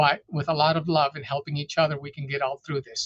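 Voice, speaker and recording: Fairly quick and somewhat breathy, a man speaks at a fairly high pitch. His intonation is fairly even, and the sound is dry and close with no echo. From Arizona, US, raised from age 8 (born in Juarez, Mexico). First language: Spanish. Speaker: police chief. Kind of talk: community forum remarks.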